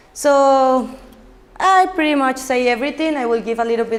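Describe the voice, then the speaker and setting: A woman speaks with a Colombian accent. The recording has audible room echo and noticeable background noise. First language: Spanish. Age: 20s. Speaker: social entrepreneur. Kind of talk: conference talk. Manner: fast; halting.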